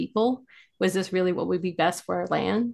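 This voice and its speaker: Vocal fry runs through speech at a fairly quick pace against a quiet background. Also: woman. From Farmington, New Mexico. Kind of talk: interview.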